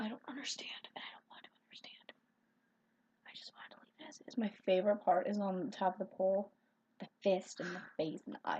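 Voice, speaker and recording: Talking at a very fast pace, a woman with an American accent has a dark, mellow tone edged with vocal fry. Her loudness swings widely. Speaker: video blogger. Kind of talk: casual chat. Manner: animated.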